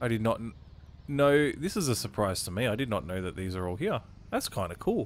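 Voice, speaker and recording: This man has an Australian accent and lively intonation. He talks at a fairly quick pace. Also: medium pitch for a man. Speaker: gaming YouTuber. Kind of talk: let's play commentary. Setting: home recording setup. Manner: casual, self-deprecating.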